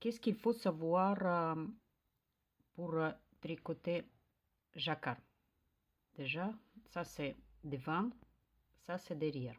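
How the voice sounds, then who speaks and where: A woman with a Russian accent at a very slow pace, fairly low in pitch with ordinary pitch variation, long and frequent pauses, in a very clean recording with a silent background. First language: Russian (speaking French). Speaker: knitting youtuber. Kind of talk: tutorial. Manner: halting, many hesitations.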